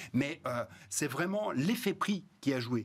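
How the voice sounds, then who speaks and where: Lively intonation from a man, somewhat breathy in sound. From Rhône-Alpes, France. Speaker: economist, research institute director; TV guest. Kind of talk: panel discussion. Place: studio. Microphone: lapel.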